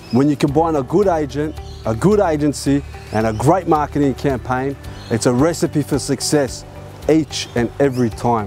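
With music in the background, a man speaks in a confident tone at a moderate pace, with a fairly high pitch and ordinary pitch variation. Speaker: property auctioneer. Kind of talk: auctioneer's promotional pitch to camera. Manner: polished, confident.

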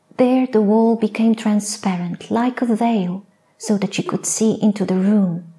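A soft-spoken woman with a gentle tone, fairly high pitch, fairly even intonation, very even loudness and a fairly slow pace. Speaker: poet, storyteller. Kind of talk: sleep story. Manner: soft-spoken, gentle. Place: stage. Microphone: lapel.

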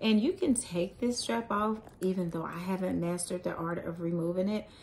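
Over light background noise, a woman speaks somewhat breathily at a moderate pace with fairly even intonation. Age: 40s. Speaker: YouTuber, handbag reviewer. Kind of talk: product review vlog. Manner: casual, with frequent fillers and laughs. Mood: pleased, relaxed. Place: home room. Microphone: phone near.

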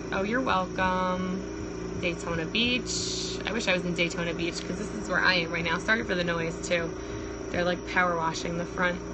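A woman's moderately paced speech is set against loud background noise. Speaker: livestreamer. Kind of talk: casual vlog chat. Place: home room. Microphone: phone near.

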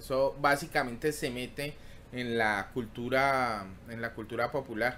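A man speaks at a fairly slow pace with fairly even intonation. His tone is bright and sharp, with light background noise. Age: 40s. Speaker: tech YouTuber hosting a livestream; tech livestream host. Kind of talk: casual live stream chat reading tech news; casual livestream chat. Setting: live stream. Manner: halting, many fillers and repetitions. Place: home room. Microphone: webcam.

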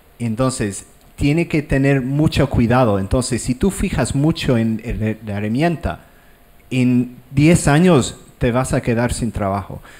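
A man talks at a fairly slow pace. His pitch variation is ordinary. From Ireland. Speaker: digital artist; panelist. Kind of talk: panel discussion. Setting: stage with audience. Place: hall. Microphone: handheld.

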